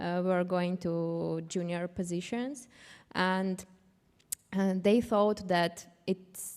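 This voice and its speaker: Speaking at a very slow pace with a non-native accent, a woman keeps a medium pitch and fairly even intonation in a very clean recording with a silent background. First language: not English. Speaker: panelist, cybersecurity professional. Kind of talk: panel discussion. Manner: halting.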